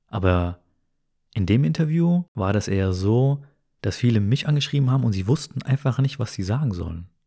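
Calm tone from a man at medium pitch and moderate pace, on a very clean recording with a silent background. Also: lively intonation. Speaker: podcast host. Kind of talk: casual chat.

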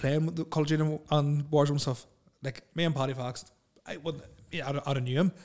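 In a Northern Irish accent, a man talks at a fairly quick pace with a fairly high pitch and fairly even intonation. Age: 30s. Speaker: podcast host. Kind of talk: casual chat.

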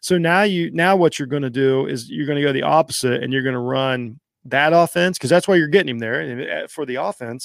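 A man's fairly high-pitched voice, fairly quick and with lively intonation, in a dry, close sound with no echo. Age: 40s. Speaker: sports podcast host. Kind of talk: solo sports talk show. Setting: studio. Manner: animated.

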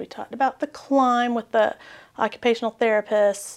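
Fairly high female voice, a plain, everyday voice, at a moderate pace with fairly even intonation. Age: 40s. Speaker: education professor. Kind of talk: interview.

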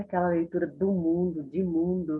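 A woman with a plain, everyday voice talks at a moderate pace and medium pitch. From Brazil, Recife (Pernambuco). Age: 40s. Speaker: writer and educator. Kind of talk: interview conversation.

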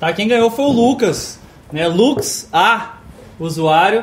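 A man talks fairly slowly while noticeable noise carries on behind him. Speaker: game master of a tabletop RPG stream. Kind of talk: RPG narration and play. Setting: live stream.

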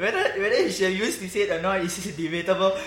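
The room echo is audible and there is noticeable background noise. A man talks in a high voice. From Singapore. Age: 20s. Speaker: football fan podcast host. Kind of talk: casual chat.

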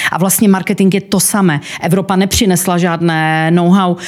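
A woman talks at a moderate pace in an Ostrava accent. Her intonation is flat and monotone. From Czechia, Ostrava. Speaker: company co-owner. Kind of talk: interview.

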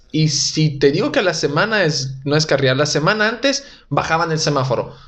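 Audible room echo surrounds a man with a fairly high pitch who speaks at a moderate pace. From Italy. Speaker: stand-up comedian. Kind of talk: casual chat.

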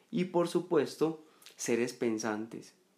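A man draws out his words at a very slow pace, his intonation lively throughout. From Colombia, Medellín. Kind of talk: reflective monologue.

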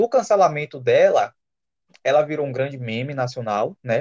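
With lively intonation and a moderate pace, a man has an ordinary speaking voice at a fairly high pitch. The sound is dry and close with no echo. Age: 20s. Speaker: podcast guest. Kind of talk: casual chat.

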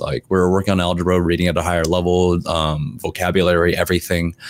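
Speaking with a General American accent, a man uses a very deep, low pitch. His delivery is very fast, with monotone, flat intonation. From US West Coast (LA, Seattle). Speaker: esports shoutcaster and host. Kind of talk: interview. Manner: casual, laughs often.

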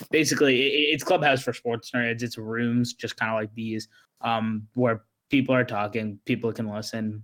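A man's plain, everyday voice, medium in pitch, at a moderate pace with fairly even intonation. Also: dry, close sound with no echo. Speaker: podcast guest. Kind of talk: casual chat about basketball and news.

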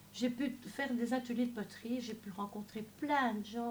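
Against noticeable background noise, a woman with a fairly high pitch talks at a fairly slow pace. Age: 60s. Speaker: church member giving testimony. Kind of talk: testimony.

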